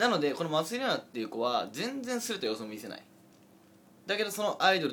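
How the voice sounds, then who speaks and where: This man's pitch swings very widely as he talks fairly quickly. Noticeable noise sits in the background. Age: 20s. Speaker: internet radio host. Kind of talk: casual chat.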